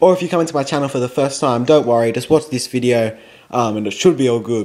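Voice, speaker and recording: This man talks very fast in a medium pitch with ordinary pitch variation. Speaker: football vlogger. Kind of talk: casual vlog monologue. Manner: rambling, hesitant with fillers.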